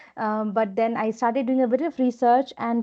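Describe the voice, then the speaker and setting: With an Indian accent, a woman speaks at a fairly high pitch in a monotone with flat intonation. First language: Hindi. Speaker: business executive. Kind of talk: interview.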